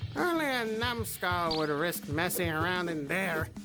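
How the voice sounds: A cartoonish character voice at a middle pitch talks at a moderate pace over loud music in the background.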